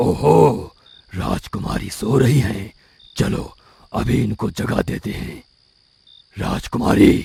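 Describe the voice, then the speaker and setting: In a cartoonish character voice, a man sounds raspy and menacing at a fairly low pitch. He talks at a very slow pace with long, frequent pauses. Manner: menacing, gloating.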